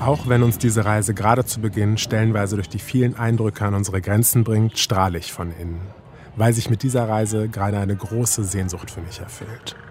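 Against noticeable background noise, a man with a fairly low voice talks at a fairly quick pace with ordinary pitch variation. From Germany, Kassel (northern Hesse). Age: 30s. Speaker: radio documentary author. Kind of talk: scripted narration.

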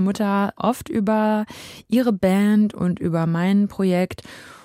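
In an ordinary speaking voice of medium pitch, a woman talks with fairly even intonation in a very clean, dry, close recording with no echo and a silent background. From Germany, Dortmund. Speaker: singer-songwriter. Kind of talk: radio interview. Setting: studio.

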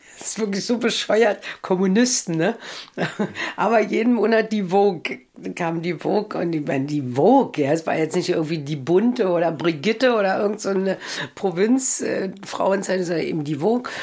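A woman with a Berlin accent, medium in pitch, lively in intonation and moderate in pace. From East Berlin. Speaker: author. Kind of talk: interview. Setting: at home.

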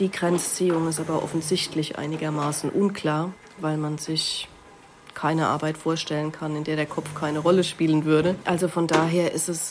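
Noticeable background noise sits behind a woman with a very deep, low voice. Her intonation is monotone and flat, and her pace is moderate. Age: 40s. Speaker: sociology professor. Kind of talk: expert interview.

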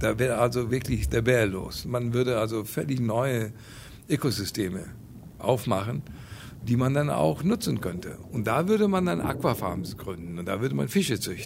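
Marked by vocal fry, the voice moves at a moderate pace with very wide pitch swings. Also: man, medium pitch for a man. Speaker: marine scientist. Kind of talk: interview.

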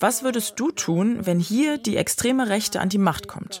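Lively intonation from a woman amid noticeable background noise. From Moscow, Russia. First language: Russian (speaking German). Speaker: investigative journalist. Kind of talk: voice messages.

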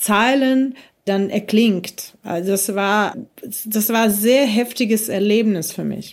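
A woman with a Russian accent speaks at a very slow pace. Her pitch is fairly high, with ordinary variation. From Ukraine (Kyiv), born in Russia. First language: Russian (speaking German). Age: 40s. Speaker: musician. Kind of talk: interview.

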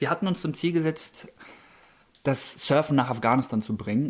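The clip features an ordinary speaking voice. The pitch variation is ordinary. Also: man. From Germany. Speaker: professional surfer. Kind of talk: interview.

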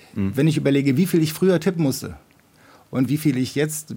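Somewhat breathy and dark and mellow in tone, a man's fairly high voice races at a very fast pace with ordinary pitch variation. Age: 50s. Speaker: software developer, listener guest. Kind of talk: casual discussion.

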